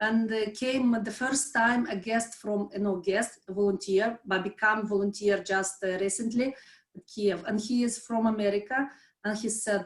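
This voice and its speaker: A woman's somewhat breathy, fairly high voice with fairly even intonation. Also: moderate pace. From Moldova. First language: not English. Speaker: volunteer, former civil servant. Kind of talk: interview. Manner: halting, many fillers and restarts.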